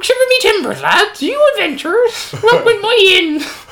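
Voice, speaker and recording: Over light background noise, a put-on character voice at an extremely high pitch moves along at a moderate pace. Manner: boisterous, comic.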